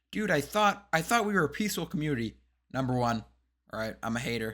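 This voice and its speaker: A man's fairly high, bright and sharp voice with lively intonation, on a very clean recording with a silent background. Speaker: MMA commentary YouTuber. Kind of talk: casual commentary vlog. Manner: animated.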